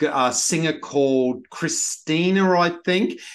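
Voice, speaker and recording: A man with an Australian accent speaks with ordinary pitch variation over a quiet background. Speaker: TV podcast host. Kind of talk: interview. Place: home room. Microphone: webcam.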